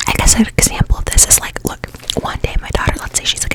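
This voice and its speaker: A woman whispers over noticeable background noise. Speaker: ASMR podcast host. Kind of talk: ASMR podcast, relaxed rambling talk. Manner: relaxed, casual, conversational.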